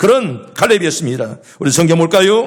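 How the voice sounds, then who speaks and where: An animated man at a moderate pace, with very wide pitch swings and noticeable background noise. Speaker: pastor. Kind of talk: sermon.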